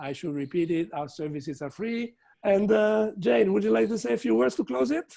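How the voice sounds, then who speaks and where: A man's high-pitched voice, dark and mellow in tone, with very wide pitch swings at a fairly quick pace. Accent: Italian. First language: Italian. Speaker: trade promotion representative. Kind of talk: webinar closing remarks. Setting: online webinar.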